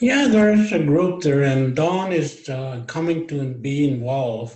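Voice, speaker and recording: Somewhat breathy and fairly slow, a man talks with ordinary pitch variation amid audible room echo. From Stoney Nakoda reserve, Morley, Alberta. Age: 70s. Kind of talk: Q&A in online meeting.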